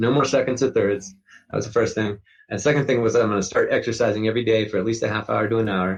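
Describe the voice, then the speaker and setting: A man's somewhat breathy, medium-pitched voice races along at a very fast pace with fairly even intonation. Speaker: recovering addict and endurance athlete. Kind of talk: interview testimony.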